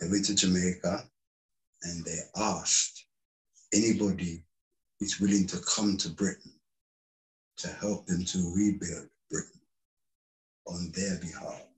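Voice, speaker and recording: Somewhat breathy, monotone, flat delivery at a fairly slow pace with long, frequent pauses. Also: man, very deep, low pitch for a man. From London, England (Caribbean heritage). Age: 60s. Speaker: community activist and parent. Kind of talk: interview.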